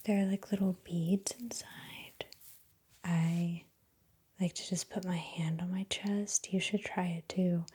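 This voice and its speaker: A soft-spoken woman talks at a very slow pace in a somewhat breathy, dark, mellow tone. Her pitch is medium and her intonation monotone and flat. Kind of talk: ASMR casual chat.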